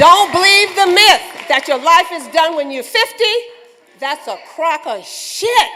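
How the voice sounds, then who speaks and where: A woman's raised, projected voice at an extremely high pitch, animated in tone, fairly slow in pace, with very wide pitch swings, big swings in loudness, and noticeable background noise. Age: 70s. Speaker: award recipient giving speech. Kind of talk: acceptance speech. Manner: halting, repeats words.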